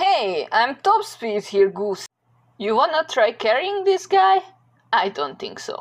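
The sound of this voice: A woman's put-on character voice, fairly high in pitch, slow, with big pitch swings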